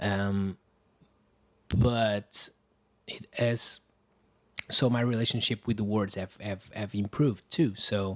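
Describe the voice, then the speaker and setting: On a very clean recording with a silent background, the speaker talks at a fairly slow pace in a Portuguese accent with fairly even intonation. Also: man. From Portugal, Lisbon. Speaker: musician. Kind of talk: casual chat. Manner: halting.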